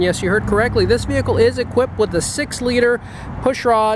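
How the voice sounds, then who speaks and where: The speech comes at a fairly quick pace, dry with no echo, amid noticeable background noise. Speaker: car salesman. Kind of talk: sales walk-around commentary. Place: street. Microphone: phone near.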